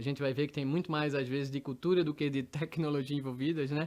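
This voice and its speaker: A man speaks in a Pernambuco accent. The recording is very clean with a silent background. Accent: Pernambuco accent, noticeable. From Recife, Pernambuco, Brazil. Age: middle-aged. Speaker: tech executive. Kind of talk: interview. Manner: hesitant, many repetitions.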